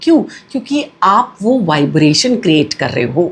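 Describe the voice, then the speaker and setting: The woman's voice moves in very wide pitch swings. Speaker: numerology and vastu consultant, cosmic energy coach. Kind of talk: spiritual teaching talk to camera.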